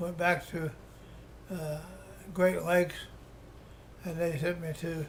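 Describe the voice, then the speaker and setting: A man with an Appalachian accent speaks at a high pitch. His delivery is fairly slow, with monotone, flat intonation. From Appalachia, West Virginia (Webster County). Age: 80s+. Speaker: war veteran. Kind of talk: oral history interview. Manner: halting, many restarts and fillers.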